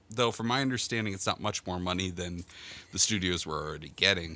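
A man talks very fast with a bright, sharp tone and vocal fry. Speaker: anime podcaster. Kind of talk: casual chat. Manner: repeats words when starting sentences.

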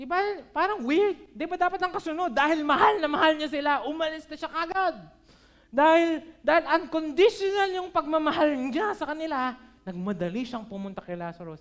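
A man with an extremely high pitch talks at a fairly quick pace, his loudness swinging widely. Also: lively intonation. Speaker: pastor. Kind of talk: sermon. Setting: church service, livestreamed. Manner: casual Taglish code-switching.

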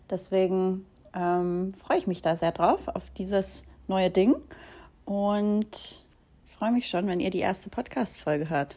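Very slow speech with long, frequent pauses, ordinary pitch variation and a dark, mellow tone. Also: woman, medium pitch for a woman. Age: 20s. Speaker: podcast host and social media creator. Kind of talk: casual solo introduction. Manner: casual with fillers and laughs.

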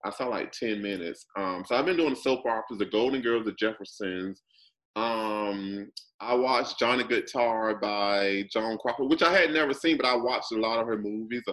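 With a normal speaking voice, a man talks at a moderate pace, his medium pitch showing ordinary pitch variation. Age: 40s. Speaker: video and performance artist. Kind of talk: casual chat.

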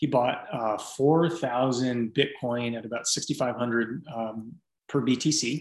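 An unremarkable speaking voice with an American accent and fairly even intonation. The recording is very clean against a silent background. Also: man. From US West Coast, San Francisco Bay Area. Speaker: fitness coach. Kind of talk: casual interview.

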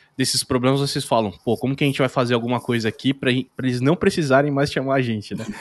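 An unremarkable speaking voice with fairly even intonation comes through dry and close, with no echo. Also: man. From São Paulo state, Brazil. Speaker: podcast host. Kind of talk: casual chat.

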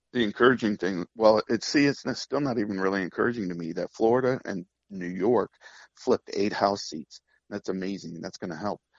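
A man's fairly low-pitched voice, an unremarkable speaking voice with ordinary pitch variation. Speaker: caller. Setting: phone call.

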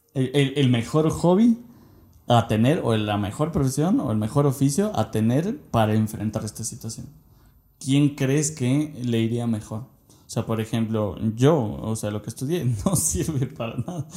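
Somewhat breathy and dark, mellow in tone, a man at medium pitch speaks at a fairly slow pace with lively intonation. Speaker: podcast co-host. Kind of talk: casual chat.

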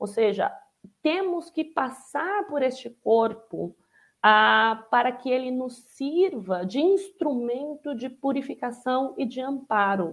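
A very slow delivery with very wide pitch swings, on a very clean recording against a silent background. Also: woman, high pitch for a woman. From interior of São Paulo state, Brazil. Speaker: spiritist speaker. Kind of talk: lecture.

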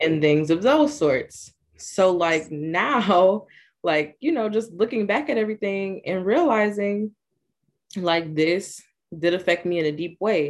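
A woman's plain, everyday voice at a medium pitch, with lively intonation and a fairly slow pace over a quiet background. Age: 20s. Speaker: university student, abuse survivor. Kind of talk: personal testimony.

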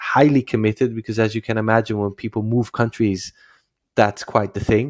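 A man with a Dutch accent speaks fairly quickly at a fairly low pitch, in a flat, monotone way. The recording is very clean and dry, close-up with no echo and a silent background. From Netherlands, Amsterdam. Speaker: startup founder and CEO. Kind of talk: interview. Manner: halting, many filler sounds.

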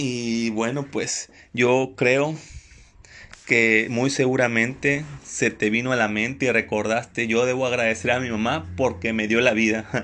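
Against a quiet background, the voice carries a bright, sharp tone that is also warm, moving at a fairly slow pace with fairly even intonation. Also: man, medium pitch for a man. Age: 20s. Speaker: inspirational podcast host. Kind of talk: motivational monologue. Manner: warm, informal.

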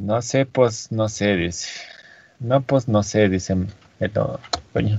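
Somewhat breathy, a man with a fairly low pitch talks at a very slow pace with ordinary pitch variation. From Andean highlands. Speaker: podcast co-host and streamer. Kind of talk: casual chat.

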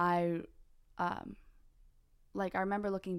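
A woman talks with an American accent at a moderate pace. Her intonation is fairly even. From US West Coast (California). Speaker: missionary. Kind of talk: casual chat. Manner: frequent fillers (like, um).

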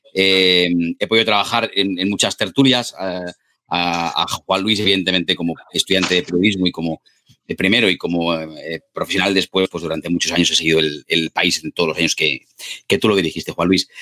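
A man's very deep, low voice at a fairly quick pace, with fairly even intonation, a bright, sharp tone and a dry, close sound with no echo. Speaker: journalist, debate moderator. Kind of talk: interview. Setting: video call.

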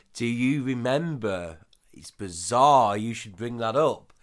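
A man talks in a plain, everyday voice at a medium pitch. His intonation is fairly even. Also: very clean recording, silent background. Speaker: podcast co-host. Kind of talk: casual chat, comedic banter.

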